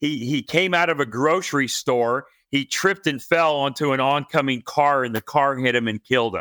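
A man speaks with a fairly high pitch and a bright, sharp, animated tone, using ordinary pitch variation. The sound is dry and close with no echo on a very clean recording with a silent background. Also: moderate pace. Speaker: financial educator, former chiropractor. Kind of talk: interview.

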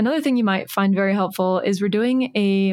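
A woman in a normal speaking voice, medium-pitched with ordinary pitch variation, at a moderate pace. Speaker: podcast host. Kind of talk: casual interview. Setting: remote call.

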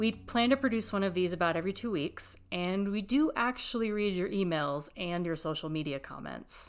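A woman's normal speaking voice at medium pitch in an American accent, moderate pace, lively intonation and hardly any pauses. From Texas. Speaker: ski area PR person and podcast host. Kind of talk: scripted narration.

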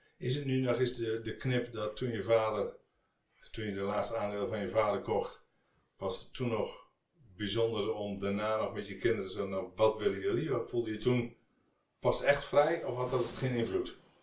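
A man with a somewhat breathy voice talks at a moderate speed, keeping his intonation fairly even. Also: medium pitch for a man. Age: 50s. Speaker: podcast host, business adviser. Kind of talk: interview. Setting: guest's office.

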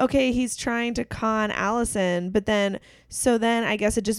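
A woman with an unremarkable speaking voice talks at a moderate pace with fairly even intonation, captured in a very clean recording against a silent background. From western Pennsylvania (Clarion). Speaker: podcast co-host. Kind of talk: casual chat. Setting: recording at co-host's home.

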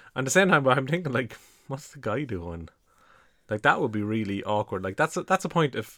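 A man with an Irish accent talks fairly quickly at a medium pitch, his bright, sharp tone showing very wide pitch swings and big shifts in loudness, recorded dry and close with no echo. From Ireland. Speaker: podcast co-host. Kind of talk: casual chat.

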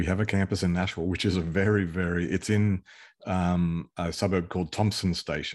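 A man with an Australian accent speaks at a fairly quick pace in a very deep, low pitch. His intonation is monotone and flat, his loudness very even, and the background quiet. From Queensland, Australia. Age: 50s. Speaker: pastor and business owner. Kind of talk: interview.

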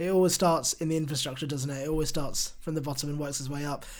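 A man with a British accent speaks at a fairly high pitch. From UK suburbs. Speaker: podcast host. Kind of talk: interview.

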